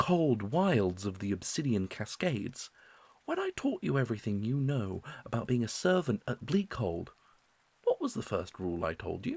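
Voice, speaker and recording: Somewhat breathy, a man speaks at a moderate pace while his pitch swings very widely. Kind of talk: fiction book reading.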